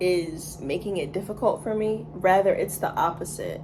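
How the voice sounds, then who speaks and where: In a room with audible echo and noticeable background noise, a woman talks at a fairly slow pace. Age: 20s. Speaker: vlogger. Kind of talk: casual rant monologue. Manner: casual, filler-heavy.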